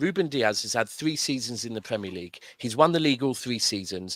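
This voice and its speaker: A man speaks at a moderate pace with lively intonation. The recording is very clean, with a silent background and a dry, close sound with no echo. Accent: southern English. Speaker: football fan caller. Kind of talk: casual football chat. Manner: animated.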